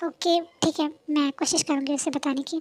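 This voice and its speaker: Using a put-on character voice, a woman speaks at a high pitch and a moderate pace with monotone, flat intonation, the sound dry and close with no echo. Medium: read story. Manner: hesitant, stammering.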